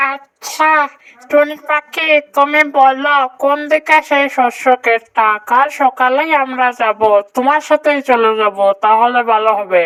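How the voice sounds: A female-sounding, cartoonish character voice pitched high. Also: fairly slow pace.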